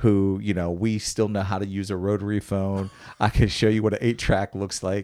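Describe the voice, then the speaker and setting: With an American accent, a man speaks at a moderate pace in a dark, mellow tone with fairly even intonation. The recording is very clean, with a silent background. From western Pennsylvania, near Pittsburgh. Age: 50s. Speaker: military veteran and pastor. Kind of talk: interview.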